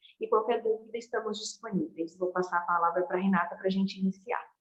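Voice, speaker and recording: A woman's normal speaking voice at a medium pitch with ordinary pitch variation. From Brazil, Minas Gerais. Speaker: event host. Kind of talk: speaker introduction.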